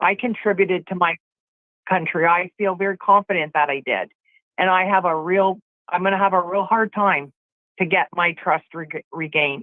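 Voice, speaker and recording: In an unremarkable speaking voice, a woman talks at a moderate pace and medium pitch with fairly even intonation. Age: 60s. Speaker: caller. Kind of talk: phone-in chat.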